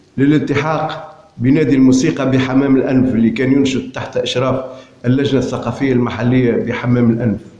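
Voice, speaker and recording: With audible room echo and noticeable background noise, a man speaks at a moderate pace and a fairly high pitch. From Tunisia, Hammam-Lif area. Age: 60s. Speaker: poet and amateur filmmaker. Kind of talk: autobiographical narration. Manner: halting.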